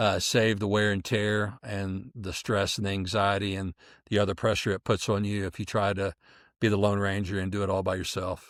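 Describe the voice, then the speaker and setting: A man with a fairly low pitch and an American accent speaks at a moderate pace in a monotone, flat intonation, on a very clean recording with a silent background. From US Midwest. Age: 50s. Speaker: podcast guest. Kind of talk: casual interview chat.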